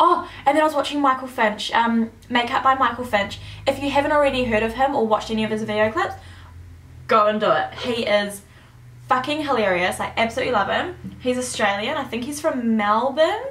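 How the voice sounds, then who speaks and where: A woman's high-pitched voice at a fairly quick pace, with ordinary pitch variation and audible room echo. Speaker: beauty vlogger. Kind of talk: makeup tutorial. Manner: fast; casual.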